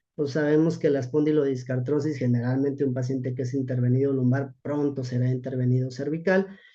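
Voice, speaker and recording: Over audible room echo, a man with a dark, mellow tone talks at a fairly quick pace with hardly any pauses and monotone, flat intonation. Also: medium pitch for a man. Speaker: rehabilitation physician. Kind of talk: lecture. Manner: halting.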